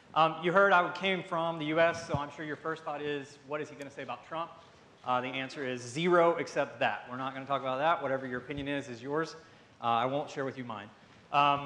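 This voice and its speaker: A man speaks with a Southern US accent and a bright, sharp tone. His intonation is fairly even, and room echo is audible. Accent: Southern American English. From US South. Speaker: pharmaceutical marketing director. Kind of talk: conference talk. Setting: stage with audience. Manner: fast; loud.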